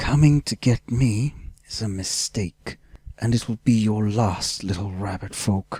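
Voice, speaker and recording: Hissing and menacing, a man puts on a character voice with a fairly low pitch. He speaks at a fairly slow pace. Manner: hissing, menacing.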